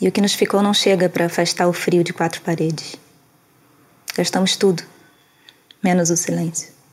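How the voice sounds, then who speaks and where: With long, frequent pauses, a woman speaks at a moderate pace and a fairly low pitch in a monotone, flat way, over noticeable background noise. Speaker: poetry reader. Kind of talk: poem reading, spoken word. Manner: soft, melancholic, measured.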